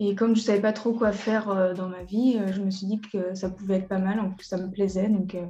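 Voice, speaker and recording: A woman talks at a fairly quick pace with hardly any pauses. Her medium-pitched voice has monotone, flat intonation. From western France, Mauléon (Deux-Sèvres). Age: 20s. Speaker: young entrepreneur. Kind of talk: interview. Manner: hesitant, many fillers.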